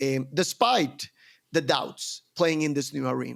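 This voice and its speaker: A man with a Spanish accent and a fairly high pitch is heard on a very clean recording with a silent background. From Colombia. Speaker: entrepreneur. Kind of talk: podcast interview.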